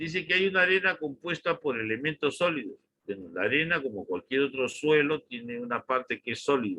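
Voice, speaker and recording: Fairly quick and lively in intonation, a man with an ordinary speaking voice talks at a fairly high pitch. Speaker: university engineering lecturer. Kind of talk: online lecture.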